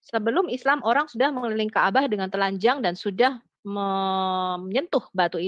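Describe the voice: At a moderate pace, a woman speaks with ordinary pitch variation in a dry, close sound with no echo.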